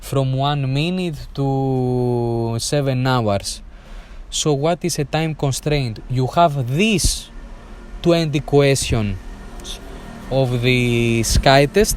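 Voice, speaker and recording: A man with a non-native accent talks at a very slow pace. His pitch is medium, with ordinary variation. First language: not English. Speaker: air traffic control exam coach. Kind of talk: tutorial. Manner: halting, many fillers.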